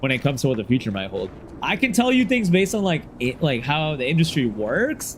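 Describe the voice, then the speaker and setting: A loud man at a fairly quick pace, fairly high-pitched for a man, with very wide pitch swings over noticeable background noise. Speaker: gaming streamer. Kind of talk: casual livestream chat.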